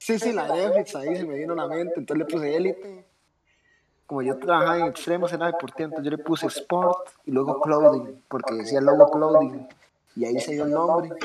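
A man speaks with an unremarkable speaking voice at a fairly quick pace. His pitch is fairly high and varies in an ordinary way. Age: 20s. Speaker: sneaker store owner. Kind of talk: casual interview.

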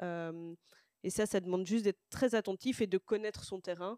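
A woman of medium pitch has an unremarkable speaking voice and fairly even intonation, captured in a very clean recording with a silent background and a dry, close sound with no echo. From Brussels, Belgium. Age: 20s. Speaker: social worker, youth project coordinator. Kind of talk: casual chat. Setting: livestream with chat.

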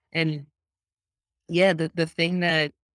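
There's no echo at all on this woman's voice, which sounds dry and close. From New York, Lower East Side. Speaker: design education company co-founder. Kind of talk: interview.

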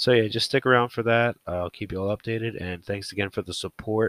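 A man speaks in an unremarkable speaking voice, pitched fairly low, with fairly even intonation. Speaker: podcast host. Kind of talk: casual solo monologue introducing a new podcast. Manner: casual, rambling, self-deprecating.

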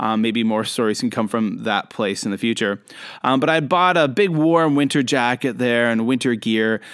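A man talks at a moderate pace in a medium pitch, with ordinary pitch variation and very even loudness. He has an unremarkable speaking voice. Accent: Canadian. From Canada. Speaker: podcast host and international educator. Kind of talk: storytelling monologue. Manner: casual, with frequent fillers.

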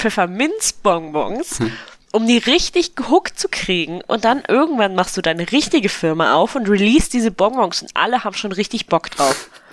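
At a moderate pace, a woman talks at medium pitch with very wide pitch swings. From eastern Germany. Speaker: podcast guest. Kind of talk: casual chat.

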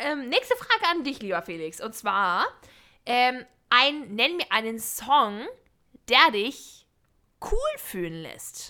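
In a very clean recording with a silent background, a woman speaks very slowly in a squeaky, high voice with a bright, sharp tone, very wide pitch swings, big swings in loudness and long, frequent pauses. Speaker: podcast co-host. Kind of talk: casual chat.

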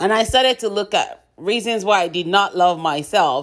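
A woman has an unremarkable speaking voice with ordinary pitch variation and a moderate pace. The recording is very clean, with a silent background. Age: 50s. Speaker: podcast host and author. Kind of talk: inspirational monologue.

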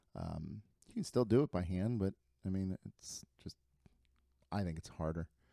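The speaker has a Midwestern American accent, a dark, mellow tone and ordinary pitch variation, talking at a moderate pace with long, frequent pauses in a dry, close sound with no echo. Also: man, very deep, low pitch for a man. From Ohio (Lima). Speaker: real estate agent. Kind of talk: casual chat.

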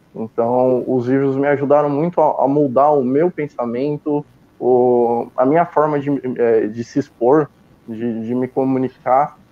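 A man's medium-pitched voice at a fairly slow pace, with fairly even intonation. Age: 20s. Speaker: book reviewer and purchasing worker. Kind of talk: interview. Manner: halting with repetitions.

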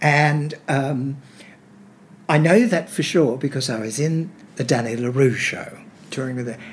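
Here a man speaks with an Australian accent and lively intonation. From Sydney, Australia. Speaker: veteran musical theatre actor. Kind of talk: casual interview chat.

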